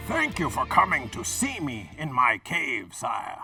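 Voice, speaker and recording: A cartoonish character voice at a fairly slow pace, with faint music in the background. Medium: puppet show. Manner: punning, chatty.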